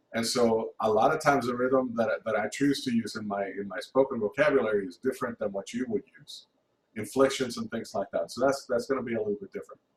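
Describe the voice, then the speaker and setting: A man with a non-native accent speaks at a fairly quick pace in a somewhat breathy voice, at a medium pitch with ordinary pitch variation. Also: big swings in loudness. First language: not English. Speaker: music theory teacher. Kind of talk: lecture. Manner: halting, many repeated words.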